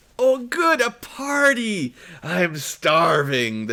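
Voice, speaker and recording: A put-on character voice growls at a fairly high pitch and a very slow pace. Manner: snarling, laughing.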